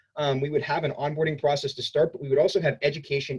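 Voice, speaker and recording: A man at a fairly high pitch, somewhat breathy, at a very fast pace. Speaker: student government representative. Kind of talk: campaign speech.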